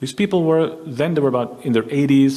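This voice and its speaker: Over noticeable background noise, a man with a medium-pitched voice talks at a fairly quick pace. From Netherlands. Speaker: historian. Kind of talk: lecture.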